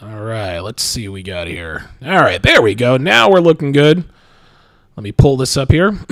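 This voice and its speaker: A man speaks at a medium pitch and a moderate pace. His loudness swings widely, and his pitch rises and falls over a very wide range. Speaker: livestream host and dating commentator. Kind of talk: live stream monologue. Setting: live stream from a travel location. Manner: many fillers and repetitions.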